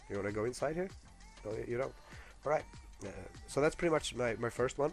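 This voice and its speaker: Very fast, lively speech from a man at medium pitch, with music in the background. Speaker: gamer, video game guide maker. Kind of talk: casual gameplay guide commentary. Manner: hesitant, many filler words.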